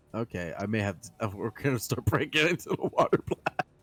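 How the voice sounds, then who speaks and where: The talking proceeds at a moderate pace. Behind it, music is playing. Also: man, dry, close sound with no echo. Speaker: tabletop game player. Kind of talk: tabletop roleplaying game session.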